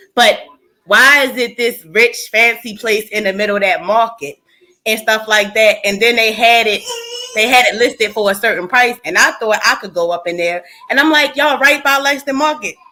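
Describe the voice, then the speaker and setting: This woman's voice is high in pitch, with lively intonation and a moderate pace. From US, Baltimore. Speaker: livestream panelist. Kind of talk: casual group discussion.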